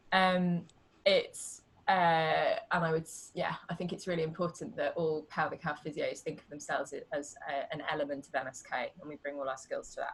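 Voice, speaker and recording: A woman talks at a moderate pace. Her loudness has big swings. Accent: British. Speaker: pelvic health physiotherapist. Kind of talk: casual interview. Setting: video call.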